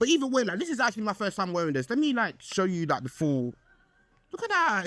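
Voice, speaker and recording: An animated man with very wide pitch swings. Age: 20s. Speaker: podcast host. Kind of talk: casual chat.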